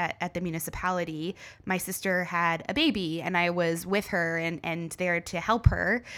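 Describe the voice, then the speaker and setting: A woman with an Ontario accent, a bright, sharp tone and monotone, flat intonation, on a very clean recording with a silent background. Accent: Canadian (Ontario). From small-town Ontario, Canada. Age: 30s. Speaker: tourism consultant and entrepreneur. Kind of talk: interview.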